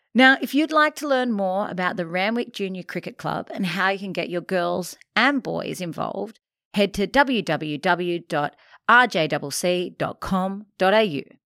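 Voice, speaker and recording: Lively in intonation and bright, sharp in tone, a woman of medium pitch speaks at a fairly slow pace. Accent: Australian. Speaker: podcast host. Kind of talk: interview. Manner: upbeat.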